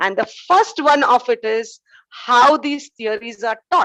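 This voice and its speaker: A woman speaks loudly at a high pitch. Her tone is bright and sharp. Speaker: nursing educator. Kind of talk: lecture. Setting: video call.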